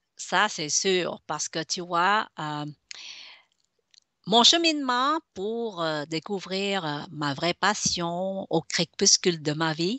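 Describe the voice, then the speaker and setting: A woman speaks at a very slow pace with a fairly low pitch. Her pitch varies in an ordinary way. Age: 60s. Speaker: business consultant. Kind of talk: radio interview. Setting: web radio. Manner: halting, many fillers.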